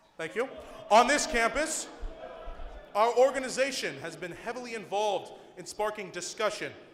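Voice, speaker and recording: At a moderate pace, a man with a high voice speaks with ordinary pitch variation, with audible room echo and noticeable background noise. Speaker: student club organizer introducing speaker. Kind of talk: event introduction speech. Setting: stage with audience. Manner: loud.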